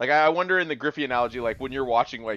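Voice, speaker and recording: This is a man with an ordinary speaking voice and an American accent, pitched at a medium level with lively intonation. The sound is dry and close, with no echo. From Washington State. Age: 20s. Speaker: podcast co-host. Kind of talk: casual chat. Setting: remote recording.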